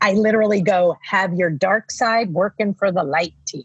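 At a moderate pace, a woman speaks in a somewhat breathy, animated tone. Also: dry, close sound with no echo. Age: 50s. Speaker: life coach. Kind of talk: casual chat.

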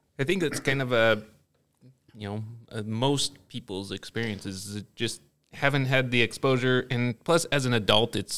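He has an ordinary speaking voice. The man keeps a moderate pace. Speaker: podcast host. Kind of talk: casual interview chat. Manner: jokey, dad-joke humor.

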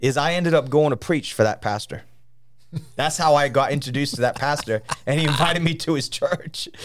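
With a fairly high pitch and ordinary pitch variation, a man speaks in an animated tone. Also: fairly quick pace. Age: 50s. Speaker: traveling revival preacher. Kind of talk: studio interview about ministry and revival. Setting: studio.

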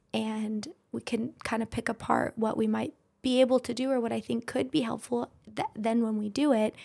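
A soft-spoken woman talks with an American accent. Her fairly high voice has a dark, mellow tone. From Idaho, US. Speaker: physician assistant and aesthetics business owner. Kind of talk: casual interview.

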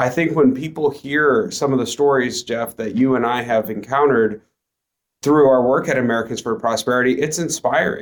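It is an unremarkable speaking voice from a man at a medium pitch. He talks at a moderate pace with ordinary pitch variation. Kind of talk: casual conversation.

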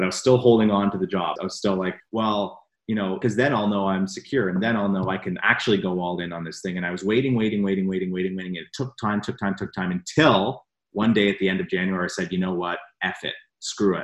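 A man with a Canadian accent, fairly low in pitch, talking at a very fast pace with fairly even intonation. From Canada. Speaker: personal development coach. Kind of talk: casual interview.

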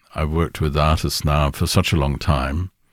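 A man with a very deep, low pitch. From Kenya. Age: 70s. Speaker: music industry executive. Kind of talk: casual chat. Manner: halting.

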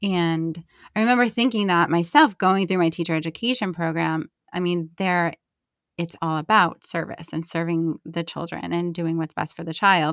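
A woman with an American accent speaks at a moderate pace, with a fairly low pitch and ordinary pitch variation. The recording is very clean with a silent background, and the sound is dry and close with no echo. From New Jersey, US. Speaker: conscious parenting coach. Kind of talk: casual interview chat.

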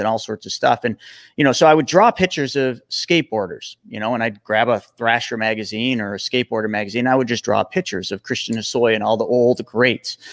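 A man with an unremarkable speaking voice talks at a fairly quick pace on a very clean recording with a silent background. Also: dry, close sound with no echo. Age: 40s. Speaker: financial coach and former pro snowboarder. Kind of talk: interview.

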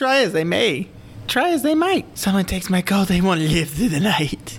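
A female-sounding voice of medium pitch uses a put-on character voice at a moderate pace. Background noise is clearly audible. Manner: sing-song, rhyming.

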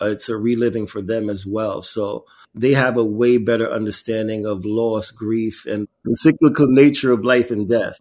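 In a very clean recording with a silent background, a man speaks at a moderate pace in a plain, everyday voice of medium pitch with fairly even intonation. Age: 40s. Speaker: artist and activist, foundation founder. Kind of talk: interview.

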